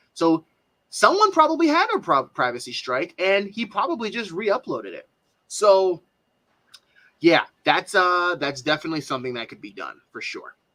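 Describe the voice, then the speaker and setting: A man with a high pitch uses a raised, projected voice with a bright, sharp tone. His pitch swings very widely. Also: moderate pace. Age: 20s. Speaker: reaction streamer. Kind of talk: live stream commentary. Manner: halting.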